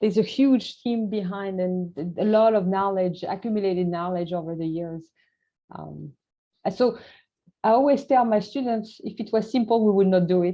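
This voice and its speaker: A woman at a moderate pace, with a French accent. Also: medium pitch for a woman, ordinary pitch variation. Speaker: scientist. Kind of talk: Q&A after presentation. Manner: halting.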